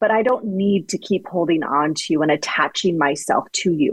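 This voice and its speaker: Speaking at a moderate pace with a fairly low pitch and ordinary variation, a woman has an unremarkable speaking voice. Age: 40s. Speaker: author and ghostwriter. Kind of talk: interview.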